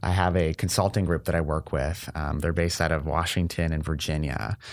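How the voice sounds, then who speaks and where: A man with an Ontario accent speaks at a moderate pace in a very deep, low voice, on a very clean recording with a silent background. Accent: Canadian (Ontario). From Windsor, Ontario, Canada. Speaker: healthcare innovator. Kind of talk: casual interview chat. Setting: studio.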